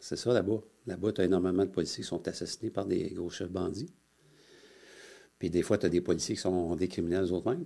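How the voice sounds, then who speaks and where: Over a very clean recording with a silent background, a man with a very deep, low pitch and a dark, mellow tone speaks at a fairly quick pace with fairly even intonation and long, frequent pauses. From Quebec, Montreal. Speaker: retired police officer. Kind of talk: interview storytelling. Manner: halting, many fillers.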